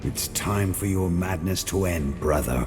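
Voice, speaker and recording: Over loud background noise, a man uses a put-on character voice with a very deep, low pitch at a moderate pace. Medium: short film. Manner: terse, grim.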